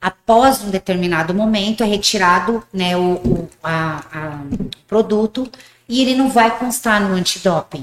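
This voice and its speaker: A woman's voice with ordinary pitch variation. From rural Paraguay, Brazilian family. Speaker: gym owner and former bodybuilder. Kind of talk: casual interview. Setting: studio.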